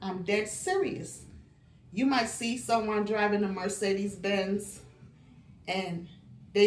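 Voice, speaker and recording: Audible room echo surrounds a woman speaking very slowly at a medium pitch. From Barbados. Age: 60s. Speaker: lifestyle vlogger. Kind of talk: casual monologue.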